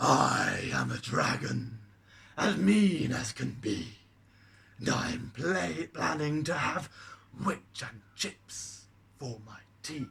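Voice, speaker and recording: In a put-on character voice, a man bellows loudly at medium pitch, going very slowly with long, frequent pauses. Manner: roaring, scary, mean.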